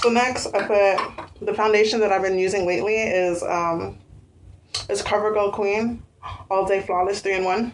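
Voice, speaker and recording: With fairly even intonation, the voice moves at a moderate pace, and audible room echo surrounds it. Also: woman. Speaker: beauty vlogger. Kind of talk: tutorial. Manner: casual with many fillers.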